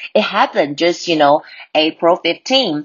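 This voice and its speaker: In a plain, everyday voice, a woman speaks at a fairly slow pace with a fairly low pitch and lively intonation. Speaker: English teacher podcaster. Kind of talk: language lesson. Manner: code-switching Mandarin and English; repeats words for drilling.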